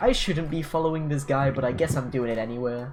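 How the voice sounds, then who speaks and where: A put-on character voice, strained and low-to-middle in pitch, at a very fast pace over noticeable background noise. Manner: strained put-on character voice.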